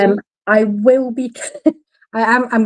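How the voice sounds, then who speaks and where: A woman with a British accent, monotone, flat intonation, dry, close sound with no echo. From United Kingdom. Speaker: co-host. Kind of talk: casual chat.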